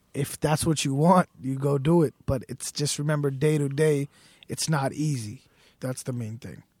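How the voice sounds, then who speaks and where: Somewhat breathy and with an American accent, a man speaks at a moderate pace and fairly high pitch with fairly even intonation, in a dry, close sound with no echo. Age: 20s. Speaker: sneaker store owner. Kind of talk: casual chat. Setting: studio.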